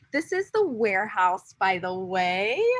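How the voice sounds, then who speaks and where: A woman speaks at a fairly slow pace. Her tone is animated. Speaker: pageant titleholder. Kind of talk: video interview. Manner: loud.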